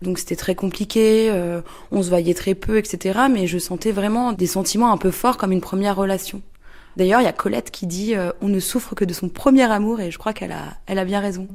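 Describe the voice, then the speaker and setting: Fairly even intonation marks a woman's speech. She moves at a fairly quick pace. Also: medium pitch for a woman. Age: 30s. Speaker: interviewee. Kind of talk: testimony. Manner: halting, many hesitations.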